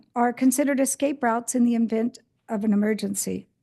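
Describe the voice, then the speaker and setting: A woman's high, dark, mellow voice at a fairly quick pace, fairly even in intonation, against a quiet background. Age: 70s. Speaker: public commenter at council meeting. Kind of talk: public comment speech.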